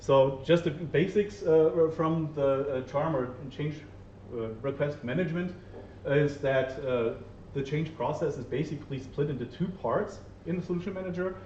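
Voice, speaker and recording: A man's fairly high voice with ordinary pitch variation, audible room echo and noticeable background noise. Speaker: SAP solution manager consultant. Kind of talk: conference talk. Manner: fast.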